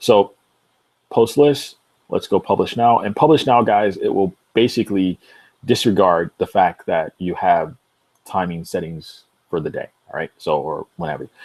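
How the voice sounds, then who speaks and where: A man at a moderate pace with long, frequent pauses, in a dry, close sound with no echo on a very clean recording with a silent background. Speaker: software tutorial youtuber. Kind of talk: tutorial. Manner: casual, filler-heavy.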